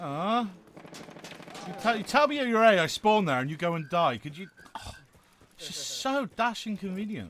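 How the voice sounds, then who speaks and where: Over noticeable background noise, a man with a West Country accent talks at a high pitch and moderate pace, his pitch swinging very widely and his loudness shifting a lot, with long, frequent pauses. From southwest England, Plymouth. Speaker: gaming streamer. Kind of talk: casual chat.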